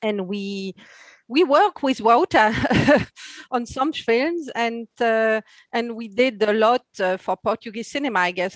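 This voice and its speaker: A woman with a French accent talks at a fairly slow pace in a fairly high voice with ordinary pitch variation, the sound dry and close with no echo. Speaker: TV short film buyer. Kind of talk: panel discussion. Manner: hesitant, repeating words.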